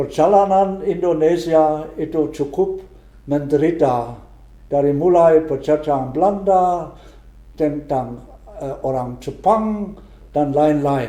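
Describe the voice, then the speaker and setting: A man with a German accent talks very slowly in a fairly high pitch. His tone is dark and mellow, and the room echo is audible. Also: ordinary pitch variation. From Germany. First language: German (speaking Indonesian). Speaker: retired missionary priest. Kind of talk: interview. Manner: halting, with frequent hesitations and restarts.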